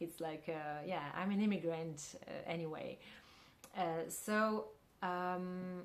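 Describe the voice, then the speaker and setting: Speaking very slowly with a Russian accent, a woman uses a fairly low pitch and fairly even intonation in a room with audible echo. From Central Asia, Kyrgyzstan. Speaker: filmmaker and actress. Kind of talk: interview. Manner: halting, many fillers.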